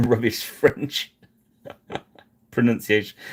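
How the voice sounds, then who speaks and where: A man with an English accent, moderate pace and fairly even intonation. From England. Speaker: miniature painting streamer. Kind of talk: live painting stream chat. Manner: halting.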